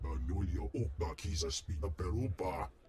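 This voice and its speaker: A man speaks in a put-on character voice. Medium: video game. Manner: imperious, rumbling alien speech.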